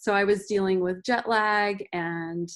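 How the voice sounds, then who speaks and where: In an unremarkable speaking voice, a woman talks at a fairly slow pace and a medium pitch. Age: 40s. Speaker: transfer student panelist. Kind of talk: panel discussion.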